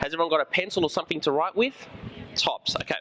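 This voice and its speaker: Over noticeable background noise, a man with an Australian accent talks at a very fast pace, with an animated tone and lively intonation. The sound is dry and close, with no echo. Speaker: high school teacher. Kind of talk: school presentation. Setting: room with student audience.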